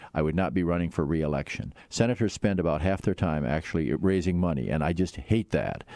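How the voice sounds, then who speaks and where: Someone with an American accent talks at a fairly quick pace, with hardly any pauses, vocal fry and a dark, mellow tone. Pitch varies in an ordinary way, loudness stays very even, and the recording is very clean with a silent background. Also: man, very deep, low pitch for a man. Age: 70s. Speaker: politician, former senator. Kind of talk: interview. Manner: halting, many fillers and repeats.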